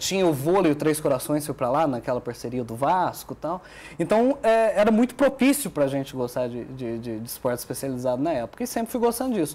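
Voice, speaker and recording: Very fast and with lively intonation, a man speaks. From southern Minas Gerais, Brazil. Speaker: sports journalist. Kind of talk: TV talk show interview.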